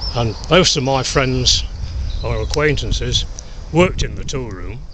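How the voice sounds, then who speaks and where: A man talking at a fairly slow pace, with noticeable background noise and audible room echo. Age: 80s+. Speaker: war veteran. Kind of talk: testimony. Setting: outdoors. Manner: halting.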